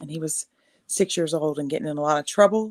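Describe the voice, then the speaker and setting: On a very clean recording with a silent background, a woman with a Texan accent speaks with fairly even intonation. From East Texas. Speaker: army veteran and singer-songwriter. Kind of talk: casual interview chat.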